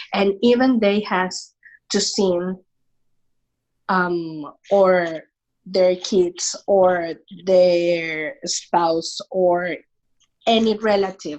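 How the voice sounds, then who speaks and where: A woman speaks very slowly with a Venezuelan accent, at medium pitch, with long, frequent pauses. Her intonation is fairly even and her loudness very even. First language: Spanish. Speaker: immigrant sharing faith story. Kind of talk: podcast interview. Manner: halting.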